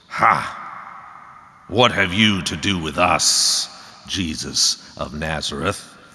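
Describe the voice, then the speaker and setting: In a put-on character voice with a very deep, low pitch, a man talks at a very slow pace with long, frequent pauses. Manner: mocking, knowing.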